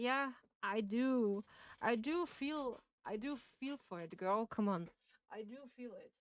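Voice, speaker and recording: A woman with a strong Austrian accent speaks at a fairly slow pace in a fairly high pitch, her intonation lively and her pauses long and frequent. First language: German. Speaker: game streamer. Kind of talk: casual live-stream chat while reading game text aloud. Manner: halting, with frequent self-corrections.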